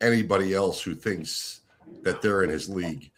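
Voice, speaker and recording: This man has an unremarkable speaking voice at a fairly low pitch. His pitch varies in an ordinary way. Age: 60s. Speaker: contest horse player. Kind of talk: casual chat.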